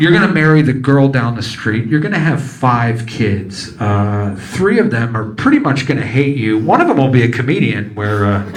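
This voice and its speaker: A man's medium-pitched voice with lively intonation at a moderate pace and hardly any pauses, with noticeable background noise and audible room echo. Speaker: stand-up comedian. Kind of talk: stand-up. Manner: whispering at the end; animated.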